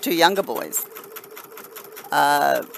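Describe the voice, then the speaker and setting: A woman talks at a very slow pace. She has an Australian accent. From Australia, New South Wales. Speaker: crafting live streamer. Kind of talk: casual live stream chat with viewers. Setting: live stream.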